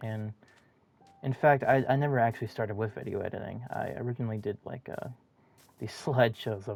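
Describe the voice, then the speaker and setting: Music plays behind a man with an American accent and a fairly low pitch. He talks at a moderate pace with fairly even intonation. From Minnesota. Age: young. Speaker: gamer and video editor. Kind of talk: casual monologue while gaming. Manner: halting, stuttering.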